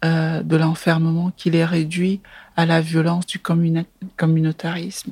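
Very slowly, a woman speaks in a fairly low, somewhat breathy voice with monotone, flat intonation. The sound is dry and close, with no echo. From Cameroon, Yaoundé. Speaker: film director. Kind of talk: interview. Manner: halting, frequent hesitations.

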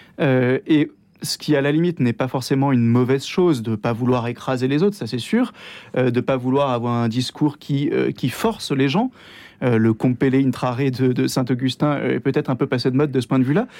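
A man's dark, mellow voice moves at a fairly quick pace over a quiet background. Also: medium pitch for a man, ordinary pitch variation. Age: 30s. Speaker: Dominican priest. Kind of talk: radio interview. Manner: enthusiastic; hesitant with many fillers.

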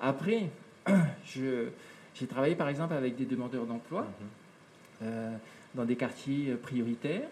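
A man's fairly high-pitched voice with lively intonation at a very slow pace. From French Polynesia. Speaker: entrepreneur and environmental news show presenter. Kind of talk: interview conversation. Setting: home studio.

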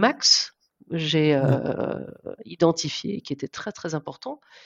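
Her voice is fairly low and shows vocal fry. The woman speaks at a very slow pace. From France, southern Brittany (Guérande area). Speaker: marketing executive. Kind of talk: interview. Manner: halting, many repetitions and fillers.

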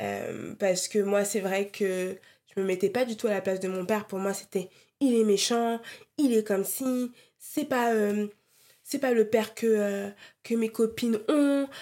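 A woman's dark, mellow voice, fairly high in pitch, at a fairly slow pace with fairly even intonation and long, frequent pauses, in a very clean recording with a silent background. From Europe, Congolese heritage. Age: 30s. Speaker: podcast host. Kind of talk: solo personal monologue. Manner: casual, hesitant with fillers.

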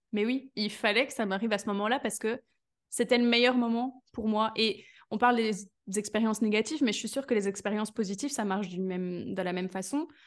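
An ordinary speaking voice at a fairly quick pace, with fairly even intonation and a quiet background. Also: woman, fairly high pitch for a woman. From Belgium. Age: 20s. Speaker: business coach. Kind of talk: casual interview chat.

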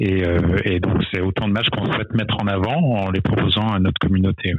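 Very deep, low male tones with fairly even intonation. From France, Brittany (Vannes). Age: 30s. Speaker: tech company founder. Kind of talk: interview. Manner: halting, many fillers and repetitions.

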